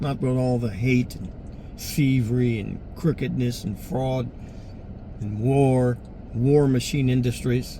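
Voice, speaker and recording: With audible room echo, a somewhat breathy man at a medium pitch speaks at a very slow pace with long, frequent pauses. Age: 60s. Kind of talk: personal appeal monologue. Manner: halting.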